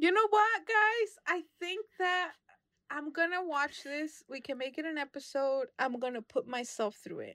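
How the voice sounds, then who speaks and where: A raised, projected voice with an American accent and very wide pitch swings. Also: woman, extremely high pitch for a woman. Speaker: movie podcast co-host. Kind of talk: casual chat.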